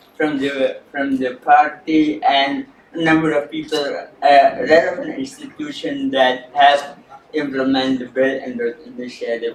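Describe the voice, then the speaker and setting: Amid noticeable background noise, a man with a fairly high pitch speaks slowly in a flat monotone. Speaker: researcher on China. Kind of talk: panel presentation.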